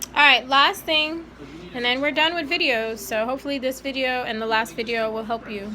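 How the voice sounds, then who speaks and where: A woman with a high pitch talks at a fairly quick pace over noticeable background noise. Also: ordinary pitch variation. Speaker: math teacher. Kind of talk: tutorial.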